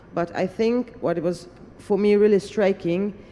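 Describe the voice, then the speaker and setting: She is a woman speaking at a medium pitch and a moderate pace. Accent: Hungarian. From Hungary. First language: Hungarian. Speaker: parliamentarian. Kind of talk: panel discussion remarks. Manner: hesitant, with fillers.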